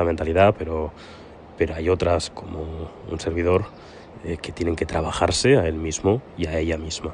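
A man with a very deep, low pitch and monotone, flat intonation talks at a moderate pace against noticeable background noise. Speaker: podcast host. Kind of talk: casual monologue. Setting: outdoors on a terrace. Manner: soft-spoken.

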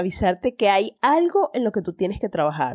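A woman's lively intonation in a dry, close sound with no echo. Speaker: podcast host. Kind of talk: solo monologue. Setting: in bed. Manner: hesitant, repeats words.

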